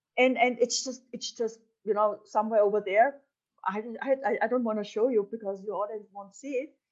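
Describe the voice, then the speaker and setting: Talking at a fairly quick pace, a woman with a German accent uses a fairly high pitch and makes big swings in loudness. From Upper Austria. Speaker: entrepreneur and business mentor. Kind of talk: interview. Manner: animated.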